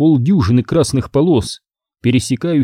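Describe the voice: Over a quiet background, a speaker does plain reading aloud with ordinary pitch variation.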